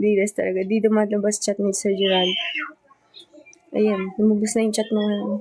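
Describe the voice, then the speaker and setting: At a moderate pace, a woman speaks with monotone, flat intonation, very even loudness and long, frequent pauses. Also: medium pitch for a woman. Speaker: idol group member livestreamer. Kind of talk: casual livestream chat.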